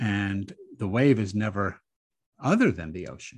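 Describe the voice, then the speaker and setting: Against a quiet background, a man talks at a moderate pace in an ordinary speaking voice, fairly low in pitch with ordinary pitch variation. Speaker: rabbi and author. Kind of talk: interview conversation. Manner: thoughtful, explanatory.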